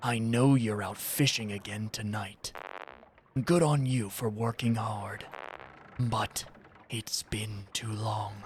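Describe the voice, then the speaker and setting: A man puts on a character voice with a sinister tone. He speaks at a fairly slow pace. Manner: sinister, imposing.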